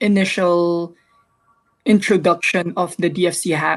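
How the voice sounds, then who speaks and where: A woman is speaking. Her pace is very slow. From Philippines, Manila. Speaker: social entrepreneur, hackathon participant. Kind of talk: self-introduction on a live online show. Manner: halting, many fillers and restarts.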